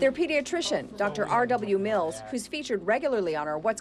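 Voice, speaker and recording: Against noticeable background noise, a woman with a fairly high pitch talks at a fairly quick pace, her pitch swinging very widely. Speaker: TV news reporter. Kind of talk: TV news report voiceover.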